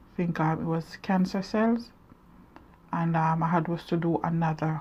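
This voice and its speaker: Somewhat breathy, a woman speaks with a fairly low pitch and fairly even intonation. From Jamaica. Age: 40s. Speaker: vlogger. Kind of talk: personal testimony. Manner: halting.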